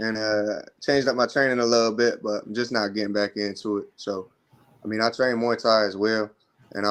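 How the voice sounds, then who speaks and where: A man has a normal speaking voice. He talks at a fairly quick pace with fairly even intonation. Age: 20s. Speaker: amateur boxer. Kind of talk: interview.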